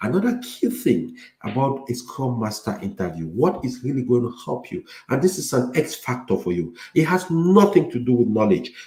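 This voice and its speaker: Audible room echo surrounds a man with a medium pitch, a dark, mellow tone and vocal fry. His pitch swings very widely as he speaks at a moderate pace. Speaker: IT career coach. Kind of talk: lecture. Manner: clear articulation.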